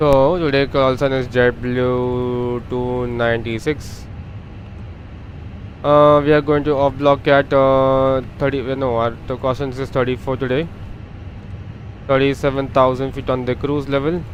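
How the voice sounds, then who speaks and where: Monotone, flat speech from a man at medium pitch, broken by long, frequent pauses, with noticeable background noise. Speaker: flight sim streamer. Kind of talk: live gameplay commentary. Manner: halting, many fillers; fast.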